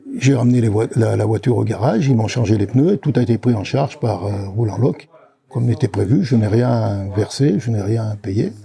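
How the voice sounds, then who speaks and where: A man talks at medium pitch and a moderate pace with ordinary pitch variation. There is noticeable background noise. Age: 70s. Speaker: customer giving a testimonial. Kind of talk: testimony. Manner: halting.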